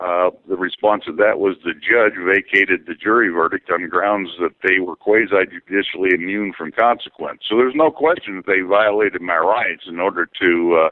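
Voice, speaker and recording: With a very deep, low pitch and ordinary pitch variation, a man talks at a moderate pace with hardly any pauses. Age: 60s. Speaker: scholar and activist. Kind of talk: interview.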